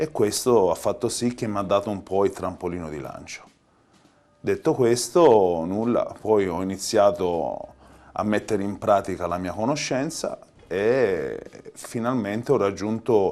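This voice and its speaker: Speaking at a fairly slow pace, a man with a strong Tuscan accent has a dark, mellow tone, a fairly low pitch and ordinary pitch variation. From Tuscany, after early childhood in Palermo. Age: 40s. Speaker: pizza chef. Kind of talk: interview.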